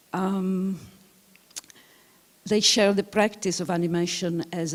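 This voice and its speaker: With an Italian accent, a woman talks at a fairly slow pace and a fairly low pitch, keeping her intonation fairly even. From Italy. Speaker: film historian, lecturer. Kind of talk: lecture. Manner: halting, many fillers.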